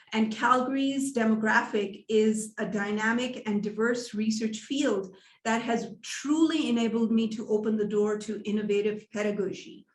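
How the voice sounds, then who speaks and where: A woman's somewhat breathy, fairly high-pitched voice at a moderate pace, with hardly any pauses, fairly even intonation and audible room echo. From Pakistan, also Iran and England. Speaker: education professor. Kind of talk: lecture.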